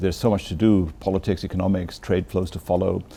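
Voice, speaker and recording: Speaking fairly quickly with a London accent, a man has a very deep, low pitch and a dark, mellow tone. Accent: British English, London. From London, England. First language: Bengali. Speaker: ambassador. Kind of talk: interview. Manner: halting.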